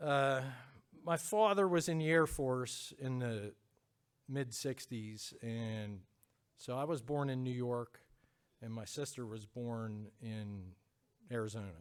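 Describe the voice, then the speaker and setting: On a very clean recording with a silent background, a man with a Pennsylvania accent speaks at a medium pitch and a very slow pace, with ordinary pitch variation and long, frequent pauses. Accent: Pennsylvania American. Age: 50s. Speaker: church member giving testimony. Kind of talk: testimony. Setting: church with congregation. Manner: hesitant.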